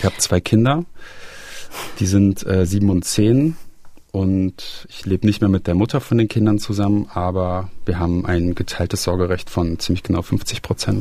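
Ordinary pitch variation marks a man's very deep, low voice as he talks at a moderate pace. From Germany, Rhineland (Aachen). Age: 30s. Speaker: interviewee sharing family addiction story. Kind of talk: personal testimony interview. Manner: hesitant, with fillers and repetitions.

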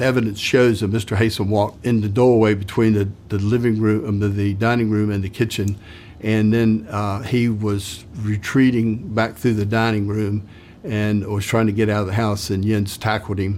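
A man's fairly low voice, monotone and flat in intonation, at a moderate pace. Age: 60s. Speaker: retired police investigator. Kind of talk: interview.

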